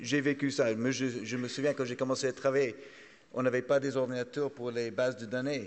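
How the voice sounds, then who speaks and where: Speaking in a strong English accent, a man keeps a medium pitch and fairly even intonation. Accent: strongly English-accented French. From Canada. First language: English (speaking French). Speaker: trade association executive, panelist. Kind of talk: conference panel talk. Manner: halting, many repetitions.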